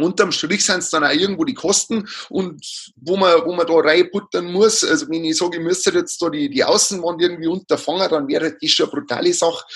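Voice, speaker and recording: This man talks at a fairly quick pace. His pitch is high and his intonation lively. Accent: strong Bavarian. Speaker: livestock housing advisor. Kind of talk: interview. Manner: halting, many fillers.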